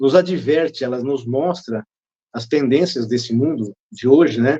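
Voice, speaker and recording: Speaking at a fairly slow pace, a man with a dark, mellow tone keeps to medium pitch with ordinary pitch variation. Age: 60s. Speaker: speaker on drug addiction, behavioral therapist. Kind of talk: interview. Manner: halting.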